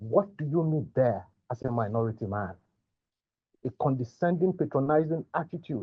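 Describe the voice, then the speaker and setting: With a strong Nigerian accent, a man speaks at a moderate pace, his pitch swinging very widely. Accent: thick Nigerian. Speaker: migrant sharing mental health experience. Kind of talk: testimony.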